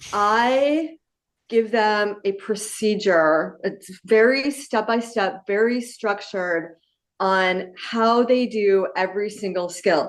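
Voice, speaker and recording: Very slowly, a woman talks in a fairly high pitch with ordinary pitch variation. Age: 60s. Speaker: physics teacher. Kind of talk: panel discussion.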